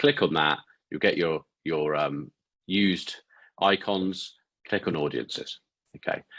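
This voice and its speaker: With a British accent, a man speaks fairly slowly at a very deep, low pitch, with ordinary pitch variation and long, frequent pauses over a quiet background. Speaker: podcast host, ads marketer. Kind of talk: tutorial. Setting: studio, talking to camera. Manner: halting.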